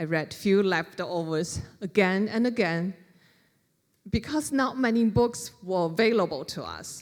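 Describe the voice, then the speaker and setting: A woman speaks at a fairly slow pace with a medium pitch, lively intonation and a Chinese accent. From China, Wuhan. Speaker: author. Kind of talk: library talk.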